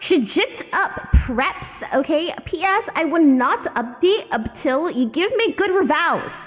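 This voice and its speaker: A woman's extremely high voice with very wide pitch swings, at a very slow pace with hardly any pauses, over music in the background. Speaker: VTuber streamer. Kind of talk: dramatic reading of a bad fanfiction.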